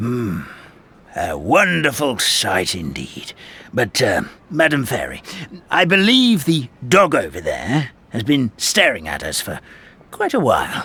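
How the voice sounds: Slowly and in a put-on character voice, a man speaks with very wide pitch swings and a bright, sharp tone. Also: medium pitch for a man.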